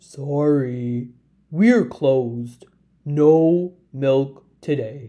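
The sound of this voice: A woman does a put-on character voice at an extremely low pitch and a very slow pace, with a dark, mellow tone and lively intonation.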